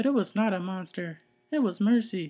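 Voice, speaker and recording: Moderate pace and fairly high pitch in a put-on character voice. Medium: read story. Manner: timid, gentle.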